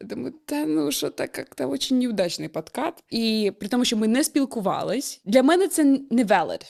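A woman with a fairly high pitch and very wide pitch swings, moderate pace and hardly any pauses, in a very clean recording with a silent background. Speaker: podcast co-host. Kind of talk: casual chat.

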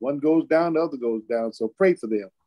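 Over a quiet background, a man speaks at a fairly high pitch with lively intonation. His tone is dark and mellow. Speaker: church talk show co-host. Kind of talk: casual discussion. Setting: remote call from father's hospital room. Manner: repetitive, emphatic. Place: home room. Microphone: video call.

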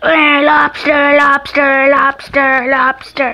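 A woman puts on a character voice, pitched high. She speaks at a very slow pace. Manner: playful, silly, repetitive.

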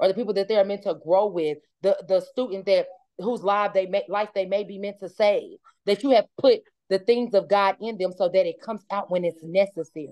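Against a quiet background, a woman talks at a fairly quick pace with a medium pitch and a dark, mellow tone. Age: 30s. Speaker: mother of four, podcast guest; podcast guest. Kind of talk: casual chat. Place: home room. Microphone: video call.

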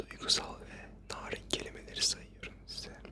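The speaker is whispering at a fairly slow pace. Noticeable background noise runs underneath. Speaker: ASMR creator. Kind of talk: ASMR trigger word repetition. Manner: close whispered.

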